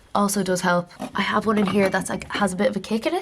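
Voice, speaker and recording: Noticeable background noise sits behind a woman of medium pitch who speaks at a fairly quick pace. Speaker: lifestyle vlogger. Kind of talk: casual vlog chat. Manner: fast; animated.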